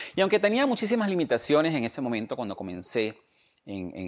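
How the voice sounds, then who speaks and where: The voice moves at a fairly quick pace with very wide pitch swings, in a very clean recording with a silent background. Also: man. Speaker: podcast host and business coach. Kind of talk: scripted monologue and personal story. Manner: enthusiastic, motivational.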